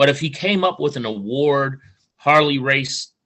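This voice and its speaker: A man speaks with a St. Louis accent in an animated tone. His pace is moderate. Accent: Midwestern US (St. Louis). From St. Louis, Missouri. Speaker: wrestling podcast host. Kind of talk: casual interview chat.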